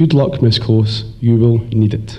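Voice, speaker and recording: There is noticeable background noise and audible room echo as a man talks at a moderate pace with a slight Scottish accent. His intonation stays fairly even. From Scotland. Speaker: teacher. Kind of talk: graduation speech.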